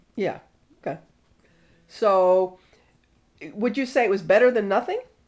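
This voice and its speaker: Talking at a moderate pace, a woman with an unremarkable speaking voice keeps a medium pitch and ordinary pitch variation. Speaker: interviewer. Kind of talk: interview questions.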